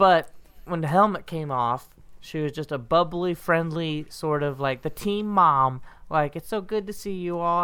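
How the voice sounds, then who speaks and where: A woman speaks at a moderate pace and fairly low pitch, with ordinary pitch variation, in an unremarkable speaking voice. The recording is very clean, with a silent background. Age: 30s. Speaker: podcast co-host, grad student. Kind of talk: casual chat.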